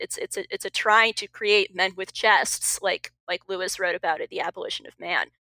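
A woman's voice at a moderate pace, in a dry, close sound with no echo. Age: 20s. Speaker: writer and cultural commentator. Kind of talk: casual discussion.

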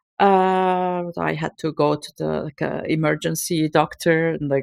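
Recorded very cleanly against a silent background, a woman with a Turkish accent speaks at a fairly slow pace in a dry, close sound with no echo. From Turkey (Istanbul). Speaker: burnout coach for academics. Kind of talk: interview.

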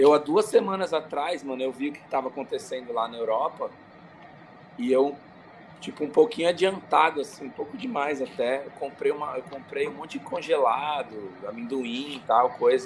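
Lively intonation from a man speaking at a moderate pace, noticeable background noise behind him. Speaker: skateboarder and podcaster. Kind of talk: casual chat. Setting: video call from home.

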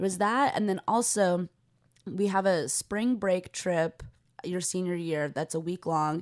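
With a plain, everyday voice and an American accent, the speaker goes at a fairly slow pace with ordinary pitch variation over a quiet background. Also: woman, medium pitch for a woman. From US West Coast, Los Angeles. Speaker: comedian. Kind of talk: casual chat.

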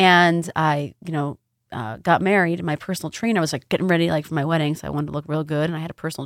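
Talking at a very fast pace, a woman with an American accent uses a fairly low pitch. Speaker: spa owner and massage therapist. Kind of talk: interview.

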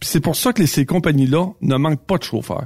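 A man with a Quebec accent and a fairly high pitch is heard in a dry, close sound with no echo, on a very clean recording with a silent background. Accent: Québécois French. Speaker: trucking industry columnist. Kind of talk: casual chat. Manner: halting.

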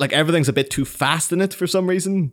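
A man speaks with an Irish accent and vocal fry. The recording is very clean, with a silent background. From Ireland. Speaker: podcast co-host from another show. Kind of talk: casual chat.

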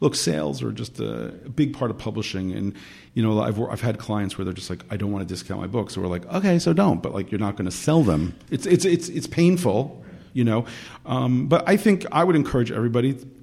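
A man talks at a fairly quick pace and medium pitch. His tone is dark and mellow, with vocal fry. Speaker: publicist. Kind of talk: casual interview.

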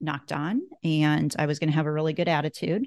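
A woman with an American accent speaks in a very deep, low voice and a flat monotone against a quiet background. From US Midwest (northeast Nebraska). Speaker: clothier. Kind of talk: casual interview.

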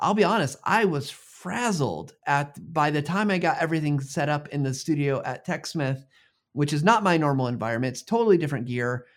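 On a very clean recording with a silent background, a man speaks in a plain, everyday voice at a moderate pace, fairly high-pitched with lively intonation. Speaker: video ambassador and podcast host. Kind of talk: casual interview.

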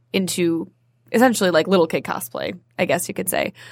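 Fairly quick and fairly low in pitch, a woman speaks in a plain, everyday voice with ordinary pitch variation on a very clean recording with a silent background. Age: 20s. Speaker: actor and theater owner. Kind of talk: casual chat.

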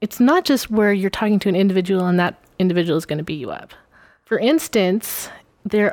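A woman's normal speaking voice at a medium pitch, with ordinary pitch variation. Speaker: podcast guest. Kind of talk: casual conversational discussion.

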